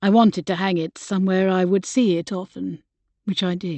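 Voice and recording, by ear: A natural voice reading aloud over a quiet background, its intonation fairly even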